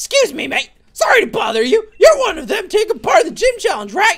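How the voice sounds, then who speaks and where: In a put-on character voice, the speaker goes extremely high in pitch, swinging very widely at a fairly quick pace. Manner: polite, casual.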